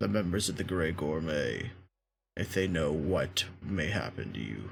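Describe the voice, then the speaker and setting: At a moderate pace, a man puts on a raspy character voice with a very deep, low pitch and lively intonation. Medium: actual play. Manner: formal, measured.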